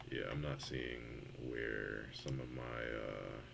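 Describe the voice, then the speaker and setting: The pace is very slow. Room echo is audible. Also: man. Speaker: game developer streamer. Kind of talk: live coding stream.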